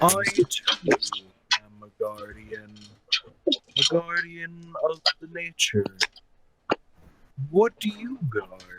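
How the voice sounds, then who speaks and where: A man speaks in a put-on character voice, pitched high. His pace is very slow, broken by long, frequent pauses. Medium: actual play. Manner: formal, earnest.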